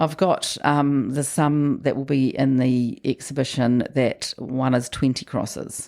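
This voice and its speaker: With a New Zealand accent, a woman talks fairly slowly in a very deep, low voice with a dark, mellow tone. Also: fairly even intonation, hardly any pauses. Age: 60s. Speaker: sculptor and weaver. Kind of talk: casual chat.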